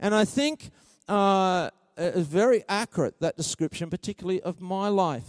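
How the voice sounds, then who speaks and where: On a very clean recording with a silent background, a man speaks in a high pitch, the sound dry and close with no echo. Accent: Australian. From Australia. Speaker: preacher. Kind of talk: sermon.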